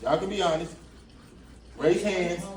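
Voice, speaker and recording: Speaking fairly quickly, a man with an American accent has a high pitch. Noticeable background noise and audible room echo fill the recording. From Atlanta, Georgia and Brooklyn, New York. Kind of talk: motivational talk with audience interaction. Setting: school classroom with students. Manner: casual, conversational.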